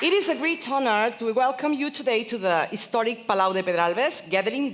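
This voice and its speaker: Her intonation lively, a woman speaks with a non-native accent. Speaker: event presenter. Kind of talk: event hosting. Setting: stage with audience. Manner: animated.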